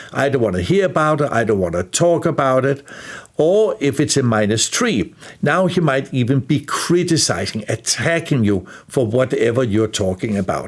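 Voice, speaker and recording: With a slight Danish accent, a man speaks in very wide pitch swings at a very even loudness. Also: medium pitch for a man, moderate pace. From Denmark. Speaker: life skills teacher. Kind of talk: lecture.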